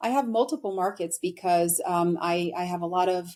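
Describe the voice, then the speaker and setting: With a New York accent, a woman talks using ordinary pitch variation. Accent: American, New York. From New York, US (born in Brazil). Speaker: immigration attorney. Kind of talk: interview.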